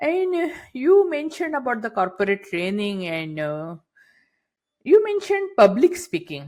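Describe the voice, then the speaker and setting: In a very clean recording with a silent background, a woman talks at a fairly slow pace with very wide pitch swings. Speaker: podcast host. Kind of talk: podcast interview questions.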